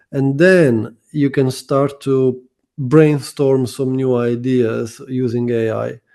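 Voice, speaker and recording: This man's voice sits at a medium pitch with a dark, mellow tone. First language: not English. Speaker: SEO consultant. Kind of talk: interview.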